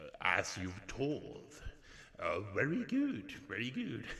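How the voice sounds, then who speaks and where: A man's put-on character voice, fairly high in pitch and fairly slow, with a clear echo. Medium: solo performance. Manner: measured, controlling.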